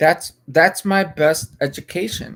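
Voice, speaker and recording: A man with an American accent speaks at a fairly slow pace with ordinary pitch variation. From United States. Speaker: livestreamer. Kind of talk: casual livestream chat. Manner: halting, many fillers and repetitions.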